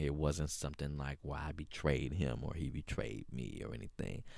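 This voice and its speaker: Very deep, low male tones in an American accent. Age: 30s. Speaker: podcast host. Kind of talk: casual monologue. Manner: frequent fillers and hesitations.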